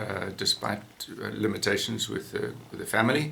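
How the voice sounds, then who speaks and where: With noticeable background noise, a man speaks at a fairly low pitch with fairly even intonation. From South Africa, Johannesburg. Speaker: falconer and former veterinarian. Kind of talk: interview. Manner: halting, many fillers.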